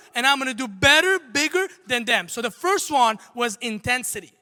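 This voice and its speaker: An extremely high, bright and sharp male voice, raised and projected, animated in tone with lively intonation, on a very clean recording with a silent background. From Armenia. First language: not English (English is third language). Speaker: entrepreneur and motivational speaker. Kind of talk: motivational talk on stage. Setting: stage with audience.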